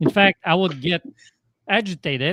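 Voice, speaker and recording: With a Polish accent, a man speaks in a dry, close sound with no echo. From Poland. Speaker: life coach. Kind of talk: podcast interview.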